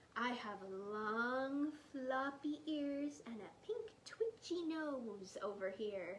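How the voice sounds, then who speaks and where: Using a put-on character voice, a woman speaks very slowly in a squeaky, high pitch with very wide pitch swings over light background noise. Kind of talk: bedtime story. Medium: read story. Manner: playful, teasing.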